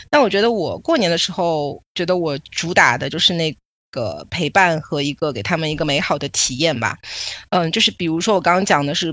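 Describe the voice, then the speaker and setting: An unremarkable speaking voice from a woman, fairly low in pitch with lively intonation, on a very clean recording with a silent background. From Shanghai, China. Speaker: podcast host and PR agency owner. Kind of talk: casual chat.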